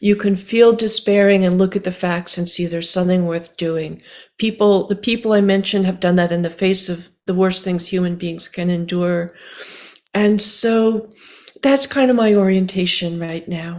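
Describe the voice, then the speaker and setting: A woman talks at a moderate pace in an unremarkable speaking voice. Her pitch is medium and her intonation fairly even. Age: 60s. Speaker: writer and climate activist. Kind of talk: interview conversation.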